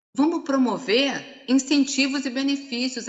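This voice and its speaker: The woman's voice sits at a high pitch. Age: 60s. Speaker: HR consultant. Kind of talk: conference talk. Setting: live-streamed seminar panel.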